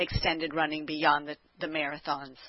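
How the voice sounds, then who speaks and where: A woman with a very deep, low pitch. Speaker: podcast host. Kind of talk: interview questions.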